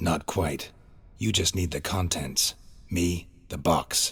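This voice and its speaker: A man uses a put-on character voice, growling at a very deep, low pitch. He moves at a fairly slow pace. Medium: video game. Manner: terse, dry.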